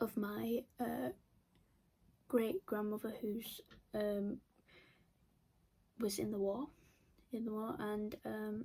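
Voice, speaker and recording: A somewhat breathy woman's voice, fairly high in pitch with a dark, mellow tone and ordinary pitch variation, at a very slow pace with long, frequent pauses. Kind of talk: casual talk to camera.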